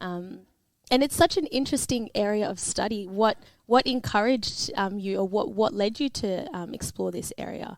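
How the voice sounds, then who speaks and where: With an Australian accent, a woman talks at a moderate pace in a fairly high pitch, her pitch varying in an ordinary way. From Melbourne, Australia (Caulfield). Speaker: podcast co-host. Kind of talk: podcast interview.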